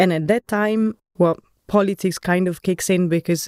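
A woman's fairly low, dark, mellow voice with an Italian accent, at a moderate pace with fairly even intonation, in a dry, close sound with no echo. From Italy, Florence. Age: 30s. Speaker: architect. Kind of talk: casual chat.

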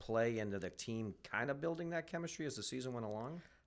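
Recorded very cleanly over a silent background, a man uses an ordinary speaking voice at medium pitch with lively intonation. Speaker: podcast host. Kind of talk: interview podcast conversation.

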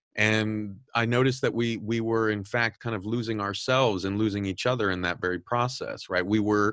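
A man's fairly low voice with a Californian accent at a moderate pace, on a very clean recording with a silent background. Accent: Californian American English. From Southern California. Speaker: podcast host and editor-in-chief. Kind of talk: interview. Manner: repetitive, filler-heavy.

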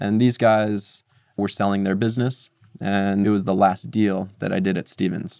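A man with an American accent has an unremarkable speaking voice at a fairly low pitch. He keeps a moderate pace and fairly even intonation. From New Jersey. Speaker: tech startup founder. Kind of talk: interview. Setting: studio.

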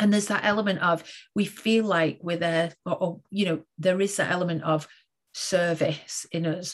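A woman of medium pitch speaks in a somewhat breathy voice with fairly even intonation. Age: 40s. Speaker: education and leadership coach, podcast host. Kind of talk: interview.

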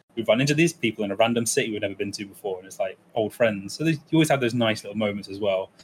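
This man talks at a very fast pace, his voice somewhat breathy and fairly low in pitch. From England (East Midlands), partly raised in Germany. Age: 20s. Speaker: speedrunner and streamer. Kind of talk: casual interview chat. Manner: hesitant, many fillers.

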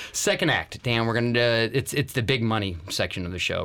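This man has an unremarkable speaking voice. His pitch is medium, with ordinary variation. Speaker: podcast host. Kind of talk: casual banter, business podcast. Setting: studio.

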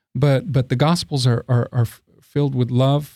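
Somewhat breathy, with a dark, mellow tone and medium pitch, a man speaks at a fairly slow pace in a dry, close sound with no echo. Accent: American. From Texas, San Antonio. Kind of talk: interview. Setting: studio. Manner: halting, frequent repetitions.

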